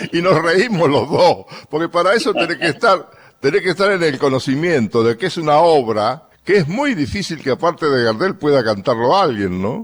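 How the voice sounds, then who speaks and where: In a Rioplatense accent, a man speaks at a moderate pace with a fairly high pitch and vocal fry. His pitch swings very widely. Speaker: radio host. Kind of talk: radio music commentary.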